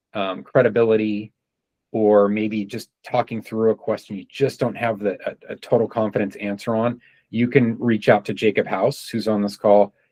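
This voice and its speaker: This man has a fairly low pitch and fairly even intonation. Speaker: sales trainer. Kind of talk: training session. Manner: fast.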